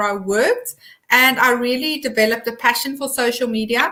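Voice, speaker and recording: With a South African accent, a woman speaks at a moderate pace in a high pitch, her tone bright and sharp and her intonation fairly even. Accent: Afrikaans South African English. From South Africa, Eastern Free State. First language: Afrikaans. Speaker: social media consultant. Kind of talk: interview.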